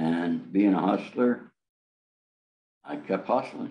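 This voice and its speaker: A man speaks with a New York accent at a very slow pace. His pitch is very deep and low. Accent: New York American. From upstate New York. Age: 70s. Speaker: author and former mobster. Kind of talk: interview.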